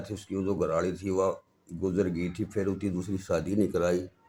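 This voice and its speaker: This is a man with a Haryana accent. His pitch is fairly low. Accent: Haryanvi. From Haryana, Jind district. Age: 60s. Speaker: folk musician, banjo player. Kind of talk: interview.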